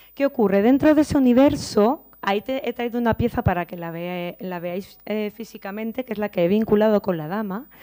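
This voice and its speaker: A woman's dark, mellow voice with lively intonation, big swings in loudness and hardly any pauses, over a quiet background. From Spain, Valencia. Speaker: visual artist. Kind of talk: conference talk. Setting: conference room with audience. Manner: halting, many fillers and repetitions. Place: hall.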